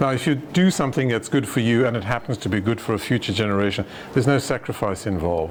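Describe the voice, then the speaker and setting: Over noticeable background noise, a man speaks at a very fast pace with a medium pitch and lively intonation. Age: old. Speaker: retired doctor giving a philosophy talk. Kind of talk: lecture with audience discussion.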